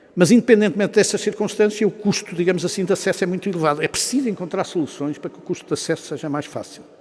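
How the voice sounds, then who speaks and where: A man talks at a very fast clip. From Portugal. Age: 60s. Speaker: business executive and professor, guest speaker. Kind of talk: after-lunch talk to an audience.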